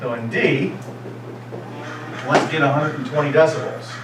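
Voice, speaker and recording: A man's medium-pitched voice at a fairly quick pace, fairly even in intonation, with noticeable background noise and audible room echo. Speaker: physics teacher. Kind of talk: lecture. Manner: loud.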